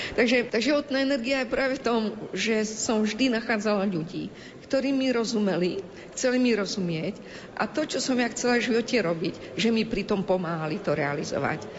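With lively intonation and a fairly high pitch, a woman talks at a moderate pace over noticeable background noise. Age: 60s. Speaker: Roma education activist. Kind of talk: interview.

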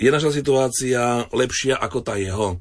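An ordinary speaking voice from a man, at a fairly slow pace with ordinary pitch variation. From eastern Slovakia. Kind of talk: radio interview. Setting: studio.

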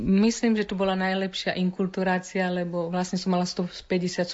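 A woman speaks at a medium pitch and a fairly slow pace. Her intonation stays flat and monotone. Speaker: missionary nun and nurse. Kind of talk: interview.

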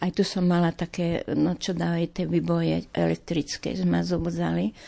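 A woman's voice, moderately paced, over a quiet background. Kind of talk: testimony.

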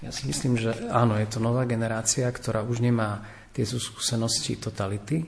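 This is a man with a normal speaking voice at medium pitch. He talks at a moderate pace with fairly even intonation. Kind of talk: radio panel discussion.

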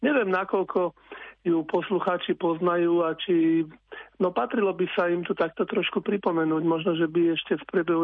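Pitched high for a man, his speech moves at a moderate pace with fairly even intonation. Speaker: meteorologist. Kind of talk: radio interview, weather forecast.

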